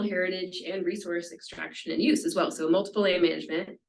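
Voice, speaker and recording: Lively intonation from a woman at a very fast pace. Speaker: law professor giving seminar talk. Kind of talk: lecture. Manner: halting, many fillers.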